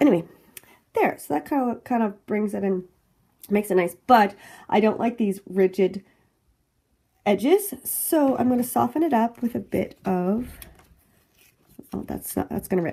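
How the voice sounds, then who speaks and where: A woman speaks at a medium pitch and a moderate pace, her tone dark and mellow and somewhat breathy. Her intonation is lively, broken by long, frequent pauses. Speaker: planner crafting youtuber. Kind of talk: tutorial. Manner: casual.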